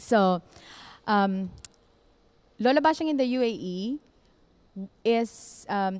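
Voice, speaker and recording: Speaking in a Western Visayas accent, a woman talks very slowly with long, frequent pauses, a fairly high pitch and lively intonation. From Philippines, Western Visayas. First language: Hiligaynon. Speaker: writer at a cultural reading event. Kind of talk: presentation; reading aloud.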